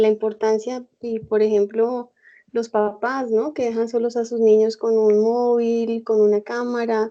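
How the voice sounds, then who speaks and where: Using a normal speaking voice, a woman talks at a fairly slow pace. Her fairly high pitch has fairly even intonation. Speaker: guest. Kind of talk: casual conversation. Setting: internet call.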